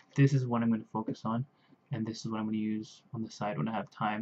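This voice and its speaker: A man speaks with an American accent. Loud background noise runs behind him. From US. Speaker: language learner vlogger. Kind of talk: video blog, casual monologue. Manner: hesitant, filler-heavy. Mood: hesitant, careful learner. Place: home room. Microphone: webcam.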